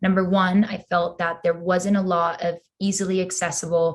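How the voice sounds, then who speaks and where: A woman speaks with a Spanish accent at a medium pitch. Her voice is somewhat breathy over a quiet background. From Peru, moved to US at eleven. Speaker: crypto community co-founder, marketer. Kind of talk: podcast interview.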